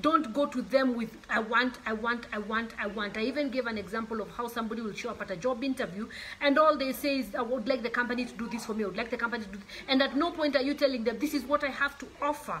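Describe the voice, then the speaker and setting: Against noticeable background noise, a woman talks at a very fast pace in a high voice with ordinary pitch variation. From Kenya. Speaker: author. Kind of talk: motivational talk.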